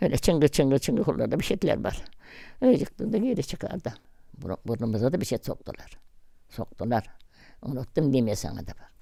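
The voice has a dark, mellow tone with vocal fry, very wide pitch swings, and big swings in loudness. It moves at a moderate pace with long, frequent pauses. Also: woman, very deep, low pitch for a woman. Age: 80s+. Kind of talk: interview answer.

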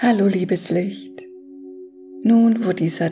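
Clear music plays in the background. Over it, a woman speaks at a very slow pace. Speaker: affirmation guide. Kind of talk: guided meditation talk. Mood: calm, soothing. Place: home room.

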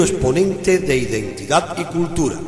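The pace is fairly slow, with audible room echo. Faint music plays in the background. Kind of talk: radio program intro. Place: studio.

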